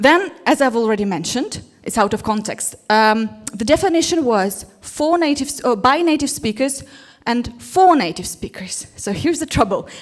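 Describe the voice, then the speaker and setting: With a Russian accent, a woman talks at a moderate pace, her intonation lively. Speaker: English teacher. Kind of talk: conference talk. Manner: animated.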